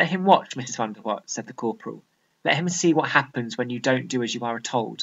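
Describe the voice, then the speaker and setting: The pace is moderate. The words come in a British accent. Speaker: A-level English literature teacher. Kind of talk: tutorial; dramatic reading aloud of a fictional extract, acting out the brigadier and narrator. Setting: video. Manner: clear, measured, explanatory.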